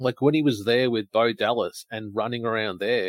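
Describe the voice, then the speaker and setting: This man's pitch varies in an ordinary way. He talks with an Australian accent. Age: 30s. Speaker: podcast co-host. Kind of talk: casual chat. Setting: live stream.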